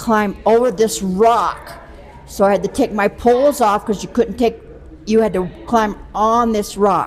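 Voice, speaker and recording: Noticeable background noise surrounds a woman speaking in a fairly high pitch. She talks at a fairly slow pace with fairly even intonation. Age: 80s+. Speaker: race participant. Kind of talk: casual interview.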